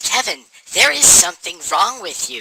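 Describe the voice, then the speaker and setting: A man performs here. He uses a put-on character voice. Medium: audio drama. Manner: deadpan, plain.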